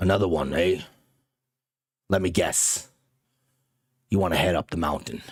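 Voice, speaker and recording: Using a put-on character voice, the speaker sounds gruff and raspy, moving at a moderate pace with long, frequent pauses. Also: man, very deep, low pitch for a man. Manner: weary, knowing.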